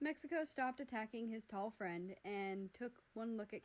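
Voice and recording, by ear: A woman speaks with lively intonation. Her tone is slightly mellow.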